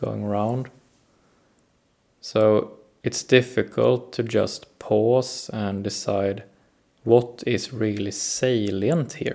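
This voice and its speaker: Speaking very slowly with a Swedish accent, a man uses a fairly low pitch and fairly even intonation. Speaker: self-help video host. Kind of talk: reflective talk to camera. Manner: hesitant, many fillers.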